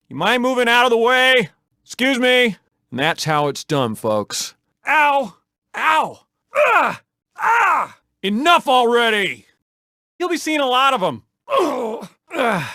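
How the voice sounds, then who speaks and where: A man's put-on character voice, extremely high in pitch and energetic in tone. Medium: machinima. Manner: energetic, cocky.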